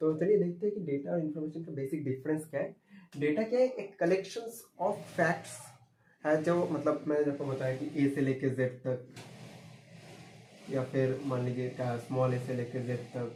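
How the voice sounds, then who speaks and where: Audible room echo surrounds a man with a Bengali accent. His pitch is fairly high, with ordinary pitch variation. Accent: Bengali-accented Hindi. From Bengal, India. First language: Bengali (speaking Hindi). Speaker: computer science teacher. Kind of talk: lecture. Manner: halting, with fillers.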